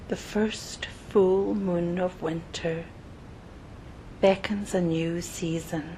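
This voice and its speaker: A calm, very slow delivery with long, frequent pauses, ordinary pitch variation and noticeable background noise. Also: woman, fairly low pitch for a woman. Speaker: meditation guide. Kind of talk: guided meditation. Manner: calm, slow.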